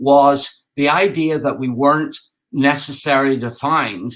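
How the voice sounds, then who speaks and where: With an Irish accent, a man speaks in a fairly high, bright, sharp voice. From Ireland. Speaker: game designer and architect. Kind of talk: conference talk. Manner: halting, many fillers.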